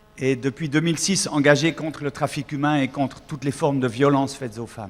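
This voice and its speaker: Against noticeable background noise, a man with a Swiss accent talks at a fairly quick pace, his fairly high pitch showing ordinary variation. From Switzerland. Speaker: singer. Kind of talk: public talk. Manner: halting.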